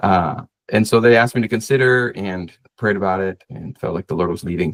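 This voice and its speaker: A man at a very fast pace with ordinary pitch variation, against a quiet background. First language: Spanish. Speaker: associate pastor and seminary student; pastor, podcast host. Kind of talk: casual interview chat. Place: home room.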